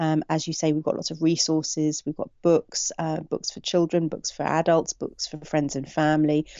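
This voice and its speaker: With hardly any pauses, a woman speaks at a moderate pace in a very deep, low pitch and a monotone, flat intonation. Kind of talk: interview.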